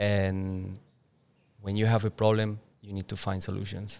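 A man's fairly low, monotone voice with flat intonation and a Spanish accent. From Colombia, Boyacá (Duitama). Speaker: entrepreneur. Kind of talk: interview. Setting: outdoors with birds, Bali. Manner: hesitant, many fillers.

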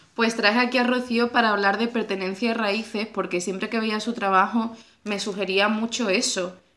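Through noticeable background noise, a woman speaks at a moderate pace in a fairly high voice with fairly even intonation. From Andalusia, Spain (Cádiz province). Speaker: podcast host. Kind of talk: casual conversation. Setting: at the guest's home.

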